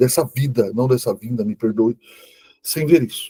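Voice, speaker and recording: Dark, mellow tone, somewhat breathy, at a fairly slow pace, in a dry, close sound with no echo. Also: man. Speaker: Bible teacher. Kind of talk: online lecture.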